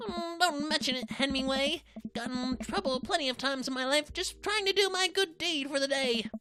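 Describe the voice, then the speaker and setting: A woman puts on a character voice with a high pitch. Her intonation is lively and her pace moderate. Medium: solo performance. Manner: laconic, deadpan.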